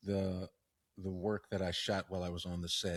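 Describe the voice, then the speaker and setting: Somewhat breathy and very deep in pitch, a man talks on a very clean recording with a silent background. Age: 60s. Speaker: podcast co-host. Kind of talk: casual chat.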